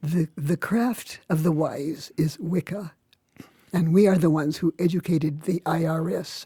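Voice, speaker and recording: A woman with a fairly low, dark, mellow, somewhat breathy voice speaks at a fairly slow pace. Her intonation is fairly even, and the sound is dry and close with no echo. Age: 80s+. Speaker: Wiccan teacher. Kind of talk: interview.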